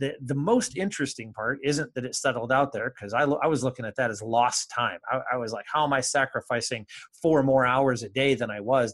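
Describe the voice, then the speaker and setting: A man with an unremarkable speaking voice, medium pitch, ordinary pitch variation and a fairly quick pace, with an American accent. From Michigan, US Midwest (Kalamazoo area). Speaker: creativity and business coach. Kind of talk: interview conversation.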